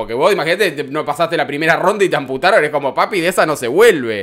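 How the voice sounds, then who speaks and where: Against a quiet background, a man talks in a fairly high pitch. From Argentina. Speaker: entertainment news youtuber. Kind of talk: casual commentary on clips. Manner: animated. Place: home room. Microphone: studio mic.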